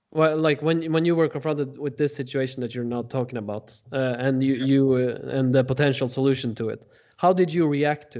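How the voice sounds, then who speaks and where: A man talks with a Norwegian accent. His pace is fairly quick and his intonation fairly even. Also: medium pitch for a man. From Norway. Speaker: podcast host. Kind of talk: interview.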